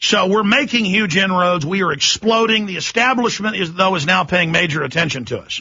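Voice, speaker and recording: In an angry tone, a man speaks at a fairly quick pace and a high pitch, with ordinary pitch variation and hardly any pauses. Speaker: radio talk show host. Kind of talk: talk radio monologue. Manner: impassioned, angry.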